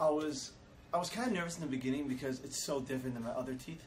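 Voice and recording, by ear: Amid audible room echo, a man talks at a very fast pace with ordinary pitch variation. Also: medium pitch for a man.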